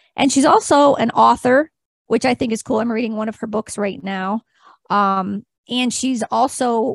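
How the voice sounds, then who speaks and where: A woman with a normal speaking voice, fairly high in pitch with ordinary pitch variation, at a fairly slow pace in a dry, close sound with no echo. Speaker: podcast co-host. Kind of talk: casual interview chat.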